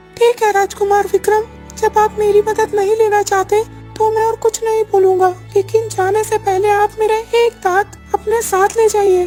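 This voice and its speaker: Clear music plays in the background behind a cartoonish character voice. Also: moderate pace. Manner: respectful, earnest.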